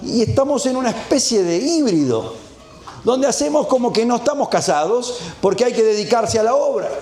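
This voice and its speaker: An extremely high-pitched man with lively intonation, very even loudness and a fairly quick pace, amid noticeable background noise and audible room echo. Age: 60s. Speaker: preacher. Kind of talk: sermon.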